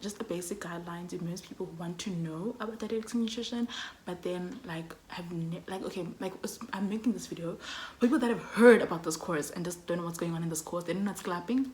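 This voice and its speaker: A woman talks at a very fast pace in a fairly low pitch with ordinary pitch variation. Noticeable background noise runs underneath. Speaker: student vlogger. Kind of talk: casual vlog talk. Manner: loud, energetic.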